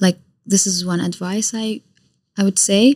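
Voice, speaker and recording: With an Arabic accent, a woman speaks at a medium pitch and a fairly slow pace, somewhat breathy, in a dry, close recording with no echo. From Iraq. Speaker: YouTuber and content creator. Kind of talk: casual chat. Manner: animated.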